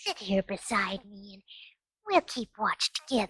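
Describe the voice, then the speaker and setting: A female-sounding voice at medium pitch for a woman, using a put-on character voice. The pace is moderate. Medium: read story. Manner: soft, gentle, wondering.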